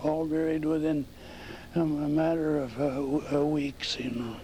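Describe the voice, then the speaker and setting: In an American accent, a man talks at a fairly slow pace with a fairly high pitch and monotone, flat intonation, with audible room echo. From North Dakota, US Upper Midwest. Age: 90s. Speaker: oral history interviewee. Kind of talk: oral history interview. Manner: halting.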